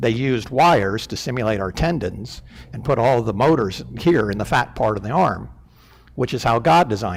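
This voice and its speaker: A man's medium-pitched voice with vocal fry, lively intonation and a moderate pace. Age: 60s. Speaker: church elder. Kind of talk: sermon. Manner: halting, many fillers.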